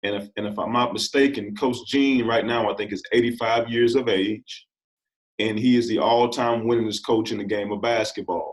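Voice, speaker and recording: A man with an American accent speaks at a fairly quick pace in an ordinary speaking voice, his medium pitch carried with fairly even intonation. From US Midwest, southeast Missouri (Bootheel). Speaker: basketball coach. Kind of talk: interview.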